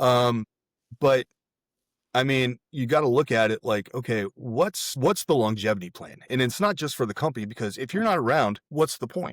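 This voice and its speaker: A man's medium-pitched voice, an unremarkable speaking voice, with lively intonation at a moderate pace, dry and close with no echo, on a very clean recording with a silent background. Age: 40s. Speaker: real estate investor and military veteran. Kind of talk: casual interview chat.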